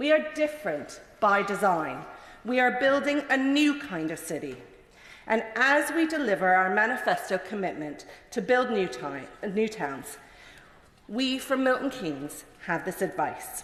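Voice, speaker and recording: In a room with audible echo, a woman with a fairly high pitch speaks with very wide pitch swings. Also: fairly slow pace. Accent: Mid-Atlantic. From Canada. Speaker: member of parliament. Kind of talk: parliamentary maiden speech. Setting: parliament chamber.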